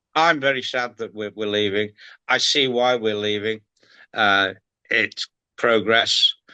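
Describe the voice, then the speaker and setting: Over a quiet background, a man with a Liverpool accent talks at a fairly slow pace with long, frequent pauses, using a bright, sharp tone and a medium pitch with ordinary pitch variation. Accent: Scouse (Liverpool). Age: 70s. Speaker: retired sports presenter. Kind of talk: podcast interview. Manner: halting, repeats words.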